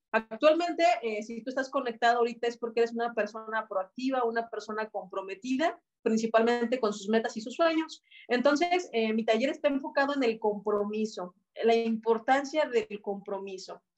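This woman has a fairly high pitch and ordinary pitch variation, talking at a moderate pace. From Mexico, Celaya, Guanajuato. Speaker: network marketing team leader. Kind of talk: online training workshop. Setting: video call.

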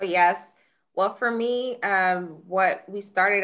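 Talking at a fairly slow pace in an unremarkable speaking voice, a woman with an American accent shows ordinary pitch variation. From Jacksonville, Florida. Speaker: criminal defense attorney. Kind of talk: testimony.

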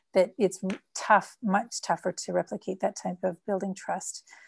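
A woman speaks with a Canadian accent at medium pitch and a moderate pace. Her voice is somewhat breathy, and the recording is very clean with a silent background. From Canada. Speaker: social impact consultant. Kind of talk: interview. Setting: call.

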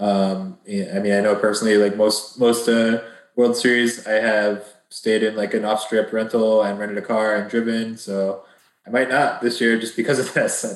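A man speaks at a moderate pace in a monotone, with flat intonation. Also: fairly low pitch for a man. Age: 30s. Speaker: professional poker player. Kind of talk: casual interview.

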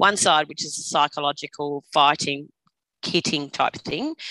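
A woman with an Australian accent speaks in a very deep, low register with ordinary pitch movement and a bright, sharp tone. The recording is very clean and dry, close up with no echo and a silent background. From Australia (Queensland and New South Wales). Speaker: trauma survivor sharing her story. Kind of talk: personal testimony interview. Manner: hesitant, many fillers.

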